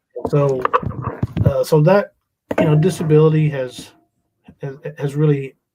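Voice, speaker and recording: A man's fairly high-pitched, somewhat breathy, dark and mellow voice at a moderate pace, with an American accent. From US South. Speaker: pastor. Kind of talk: panel discussion.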